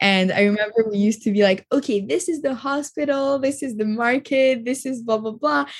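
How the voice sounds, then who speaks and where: A woman's fairly high-pitched voice, a normal speaking voice, at a fairly quick pace with lively intonation. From Montreal, Canada. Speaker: marketing agency founder. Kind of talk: casual interview.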